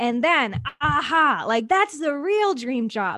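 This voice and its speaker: A woman with an American accent, in a bright, sharp tone, at a fairly slow pace with very wide pitch swings, on a very clean recording with a silent background. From Wisconsin, US Midwest. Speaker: business coach. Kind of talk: interview.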